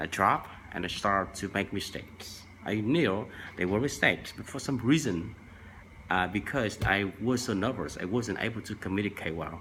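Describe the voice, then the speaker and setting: This man has a fairly low pitch and a bright, sharp tone, speaking at a moderate pace with ordinary pitch variation. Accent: Vietnamese. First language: Vietnamese. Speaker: language tips vlogger. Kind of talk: tutorial. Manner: halting, many fillers.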